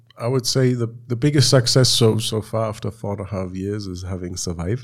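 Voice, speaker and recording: Somewhat breathy, a man speaks at a fairly quick pace with medium pitch and ordinary pitch variation. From Germany. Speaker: engineer and startup CEO. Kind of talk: interview. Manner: hesitant, with fillers.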